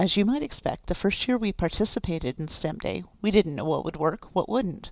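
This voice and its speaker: Using an ordinary speaking voice, a woman talks at a fairly quick pace and medium pitch with lively intonation. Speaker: archivist podcast host. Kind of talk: scripted podcast narration.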